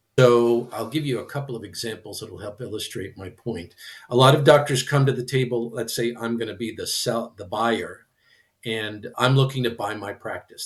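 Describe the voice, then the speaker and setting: A man with an American accent talks at a fairly quick pace in a plain, everyday voice. His intonation is fairly even, but his loudness swings widely. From Michigan. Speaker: practice transition consultant. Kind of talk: podcast interview.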